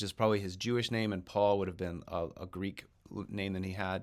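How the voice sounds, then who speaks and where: On a very clean recording against a silent background, a man talks. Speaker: Sunday school teacher. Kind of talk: recorded lecture. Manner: hesitant, repeats words.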